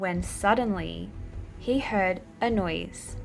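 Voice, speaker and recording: Lively intonation carries an Australian accent over music in the background. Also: woman. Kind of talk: children's story reading.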